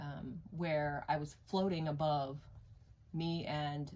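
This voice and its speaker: A woman's very deep, low, somewhat breathy voice with a dark, mellow tone and flat, monotone intonation, plus audible room echo. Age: 40s. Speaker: tarot reader. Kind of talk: personal testimony. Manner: hesitant, many fillers.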